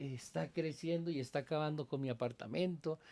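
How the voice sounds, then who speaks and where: Ordinary pitch variation in a male voice with a dark, mellow tone. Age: 60s. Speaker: pastor and Bible teacher. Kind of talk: casual interview conversation. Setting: at his country house.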